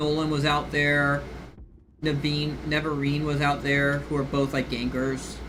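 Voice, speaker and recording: Through audible room echo and noticeable background noise, a man with a fairly high pitch speaks at a fairly slow pace in a monotone, flat intonation at very even loudness. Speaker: game streamer. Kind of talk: casual live stream commentary. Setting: live stream while gaming. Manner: rambling, halting with many fillers.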